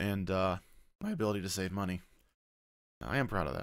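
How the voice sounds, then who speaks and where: The speech runs at a fairly quick pace against a quiet background. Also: man. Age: 20s. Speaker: streamer and vlogger; streamer, vlogger. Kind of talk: casual Q&A video blog. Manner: hesitant with many fillers. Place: home room. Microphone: studio mic.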